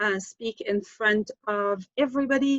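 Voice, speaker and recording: The speaker uses an ordinary speaking voice with ordinary pitch variation. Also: woman. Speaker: marketing consultant. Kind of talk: presentation.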